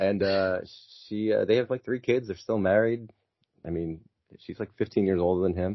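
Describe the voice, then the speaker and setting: At a moderate pace, a man with a fairly low pitch keeps his intonation fairly even and leaves long, frequent pauses. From New Jersey. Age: 40s. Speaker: horror fan guest. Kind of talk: casual chat.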